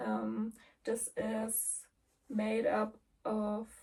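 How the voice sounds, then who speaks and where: A woman is speaking. She has a German accent. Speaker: cross-stitch vlogger. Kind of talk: casual vlog chat. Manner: relaxed, hesitant with many ums.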